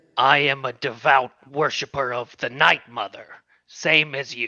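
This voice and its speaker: A put-on character voice growls and rasps. Its pitch sits in the low-to-middle range. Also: moderate pace. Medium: actual play. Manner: growling, defiant.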